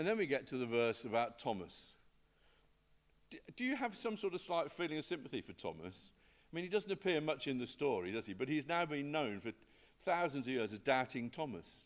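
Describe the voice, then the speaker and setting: A man talks at a fairly quick pace in a fairly high pitch, with vocal fry. His pitch swings very widely. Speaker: lay preacher. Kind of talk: sermon. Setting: church service, streamed online. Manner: clear, easy to hear.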